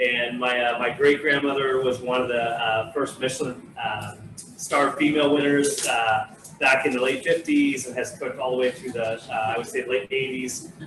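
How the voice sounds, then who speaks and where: Noticeable background noise behind a man at a medium pitch and moderate pace, his intonation fairly even. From France, Normandy (moved to California at ten). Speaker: winery host, former chef. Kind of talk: casual live cooking show chat. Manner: hesitant, many fillers.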